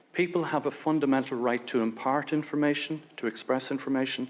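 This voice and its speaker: Speaking at a moderate pace with an Irish accent, a man uses a medium pitch and ordinary pitch variation. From Ireland. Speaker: lawyer and human rights advocate. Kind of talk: prepared speech at a hearing. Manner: formal.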